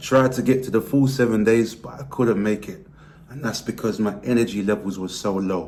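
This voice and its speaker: Using a British accent, a man at a medium pitch talks at a fairly quick pace with ordinary pitch variation. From Britain. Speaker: weight loss vlogger. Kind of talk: vlog monologue.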